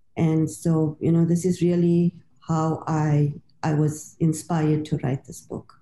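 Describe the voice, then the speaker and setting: A woman speaks at a fairly slow pace with a very deep, low pitch and a somewhat breathy voice. Her tone is dark and mellow, her intonation monotone and flat. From South Africa. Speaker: author and literature lecturer. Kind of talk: interview.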